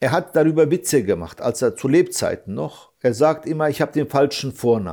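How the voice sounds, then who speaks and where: Over a silent background in a very clean recording, a man talks at a fairly quick pace with hardly any pauses, his fairly high, dark, mellow voice showing vocal fry and ordinary pitch variation. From Germany, Hesse. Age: 40s. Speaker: father of an attack victim, activist. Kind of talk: interview. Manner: halting.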